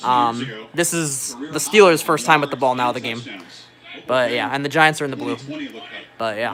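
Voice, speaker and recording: A man's animated, medium-pitched voice at a moderate pace, ordinary pitch variation, long, frequent pauses and music in the background. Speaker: livestreamer and musician. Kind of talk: casual livestream chat while watching football.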